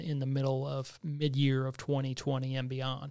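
A man with an American accent and a normal speaking voice, medium in pitch, at a moderate pace, on a very clean recording with a silent background. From Missouri, US Midwest. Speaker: state tourism director. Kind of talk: interview.

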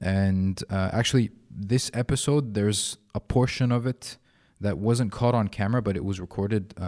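In an Arabic accent, a man speaks at a moderate pace in a fairly low pitch with ordinary pitch variation. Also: very clean recording, silent background. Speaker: podcast host. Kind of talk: casual interview chat. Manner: halting, filler-heavy.

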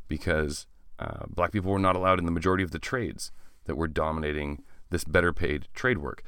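A man's very deep, low voice with a Canadian accent, fairly quick in pace, with lively intonation and audible room echo. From Canada, small-town Ontario. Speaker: teacher and history podcast host. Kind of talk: educational podcast lecture.

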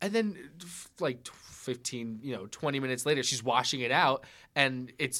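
On a very clean recording with a silent background, a man with an American accent speaks in a fairly high pitch with a bright, sharp tone. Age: 20s. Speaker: audio editor and engineer. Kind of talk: casual chat. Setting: studio.

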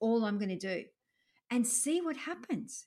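A woman's fairly high, somewhat breathy voice with lively intonation at a moderate pace, in a very clean recording with a silent background. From France, moved to Australia as a child. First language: French. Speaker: executive coach. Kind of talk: interview.

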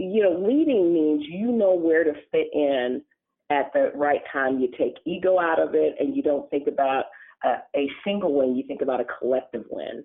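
With an American accent, a woman speaks in a fairly low voice that makes very wide pitch swings. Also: moderate pace. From Texas, San Antonio. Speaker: utility chief executive. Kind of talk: interview. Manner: halting.

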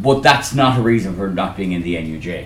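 A man with an Irish accent, fairly low-pitched and fairly quick, with audible room echo. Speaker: trade union official. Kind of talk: conference speech.

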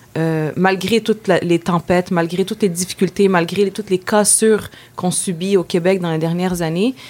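In a Quebec accent, a woman talks at a moderate pace and medium pitch with fairly even intonation. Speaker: feminist activist. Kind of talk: interview.

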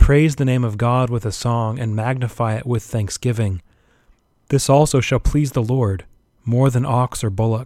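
He has an ordinary speaking voice, a man at medium pitch using fairly even intonation at a moderate pace. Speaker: Anglican priest. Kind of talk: homily. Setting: church service during pandemic. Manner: earnest, exhortative, formal.

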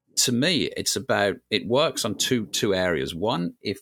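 Against music in the background, a man talks with lively intonation, the sound dry and close with no echo. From UK. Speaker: podcast co-host, business consultant. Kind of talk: casual business podcast discussion. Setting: remote recording.

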